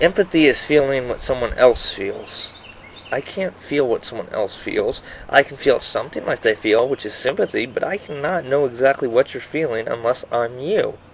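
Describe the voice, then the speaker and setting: Noticeable background noise fills the clip. A man talks through it at a moderate pace. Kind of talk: personal video monologue. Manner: halting, many fillers and repetitions.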